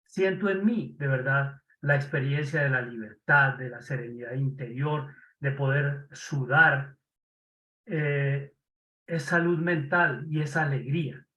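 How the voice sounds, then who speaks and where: A very slow man's voice, fairly high-pitched, with a bright, sharp tone. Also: long, frequent pauses. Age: 70s. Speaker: former Jesuit. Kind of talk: casual chat.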